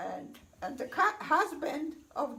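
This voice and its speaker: A high-pitched woman's voice at a very slow pace, full of lively intonation. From Poland. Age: 80s+. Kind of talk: personal life story told to family. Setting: home, with children in background.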